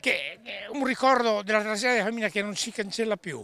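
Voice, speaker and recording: With a raised, projected voice, a man speaks in a bright, sharp tone, the sound dry with no echo. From Pordenone, north-east Italy; north-east Italy. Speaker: relative of a fallen worker. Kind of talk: testimony. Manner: halting, hesitant. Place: street. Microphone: handheld.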